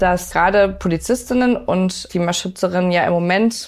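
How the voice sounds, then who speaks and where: A woman's voice at a medium pitch. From northern Germany (Lübeck). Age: 30s. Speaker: police officer and climate activist. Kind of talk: interview. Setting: kitchen at home.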